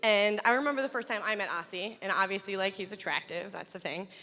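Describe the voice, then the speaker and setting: A woman speaks loudly with a bright, sharp tone. Her pitch varies in an ordinary way. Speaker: wedding guest, bride's best friend. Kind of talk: wedding toast. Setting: wedding reception with microphone.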